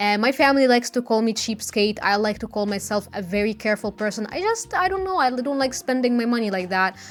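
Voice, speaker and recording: A woman's fairly high voice with a non-native accent, very fast and with hardly any pauses, lively in intonation, against noticeable background noise. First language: not English. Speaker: beauty vlogger. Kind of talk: tutorial vlog; voiceover narration. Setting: filming at home.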